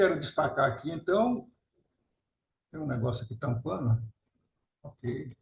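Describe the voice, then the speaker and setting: Speaking at a fairly slow pace with long, frequent pauses, a man with a medium-pitched, somewhat breathy voice uses lively intonation and big swings in loudness. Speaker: nuclear scientist and author. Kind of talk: webinar lecture.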